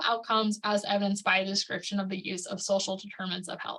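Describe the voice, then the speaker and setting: This woman talks at a fairly quick pace and medium pitch. Her tone is bright and sharp. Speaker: prevention specialist presenter. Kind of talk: webinar presentation. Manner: fast.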